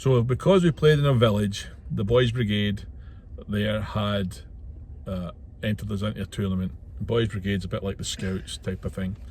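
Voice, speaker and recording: A man with a Scottish accent speaks at a moderate pace in a fairly low, somewhat breathy voice, with ordinary pitch variation and long, frequent pauses. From Scotland, west coast (Ayrshire). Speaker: truck driver and vlogger. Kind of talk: casual vlog monologue. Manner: hesitant, with fillers.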